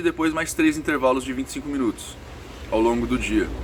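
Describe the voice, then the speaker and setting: Over noticeable background noise, a man speaks in a fairly high voice with lively intonation. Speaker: spiritualist vlogger. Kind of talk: casual vlog Q&A. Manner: speaking softly.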